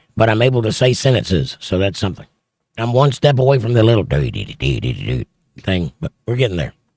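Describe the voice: Using a put-on character voice, a man speaks hoarsely at a medium pitch and moderate pace with very wide pitch swings, in a dry, close sound with no echo.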